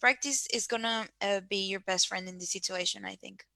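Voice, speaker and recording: Speaking at a moderate pace with a non-native accent, a woman shows ordinary pitch variation. Her tone is bright and sharp, and the sound is dry and close with no echo. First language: not English. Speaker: career workshop panelist. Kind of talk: online panel discussion.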